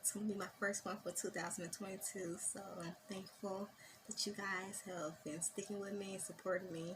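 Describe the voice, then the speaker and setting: Somewhat breathy and flat in intonation, a woman's medium-pitched voice holds a moderate pace. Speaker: makeup artist. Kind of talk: tutorial. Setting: voiceover.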